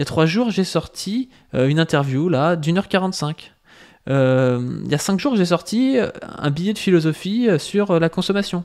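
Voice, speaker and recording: Over a quiet background, a man speaks fairly slowly in a high pitch. His intonation is lively. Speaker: YouTuber. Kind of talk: video reaction and rebuttal to another YouTuber. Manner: filler-heavy, hesitant, conversational. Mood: critical, argumentative. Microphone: studio mic.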